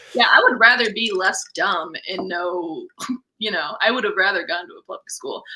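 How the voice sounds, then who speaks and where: Here a woman talks at a moderate pace and medium pitch. Her intonation is lively. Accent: Wisconsin. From Missouri. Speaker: stand-up comedian. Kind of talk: casual chat.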